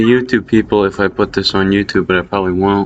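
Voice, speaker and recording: Background noise is clearly noticeable here. Through it, a man's voice comes. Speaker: Minecraft map builder. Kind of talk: casual progress update narration. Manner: mumbling, hard to hear.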